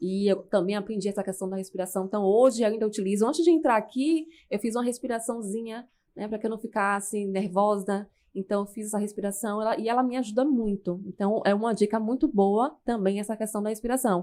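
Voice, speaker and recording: A woman speaks at a fairly high pitch with a dark, mellow tone, a fairly quick pace and ordinary pitch variation. The recording is very clean, with a silent background. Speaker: public speaking coach. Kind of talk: podcast interview.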